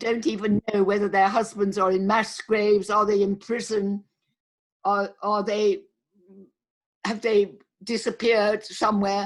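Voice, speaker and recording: Speaking at a fairly slow pace with long, frequent pauses, a woman keeps a very even loudness and a monotone, flat intonation. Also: medium pitch for a woman. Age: 80s+. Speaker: lawyer and women's rights campaigner. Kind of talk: interview.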